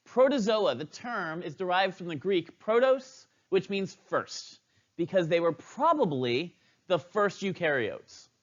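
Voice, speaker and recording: A man talks in an animated tone with a high pitch that swings very widely. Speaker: biology teacher. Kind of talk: lecture. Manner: fast.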